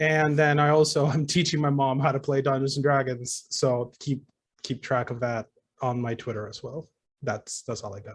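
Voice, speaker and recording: A man's fairly high, somewhat breathy voice at a moderate pace, with fairly even intonation but big swings in loudness. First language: not English. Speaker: tabletop game player and streamer. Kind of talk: casual self-introduction. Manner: halting, many repeats.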